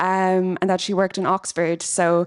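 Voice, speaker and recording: A woman talks at a moderate pace and medium pitch in an Irish accent. The very clean recording has a silent background and a dry, close sound with no echo. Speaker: PhD researcher and charity treasurer. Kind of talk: conference panel introduction.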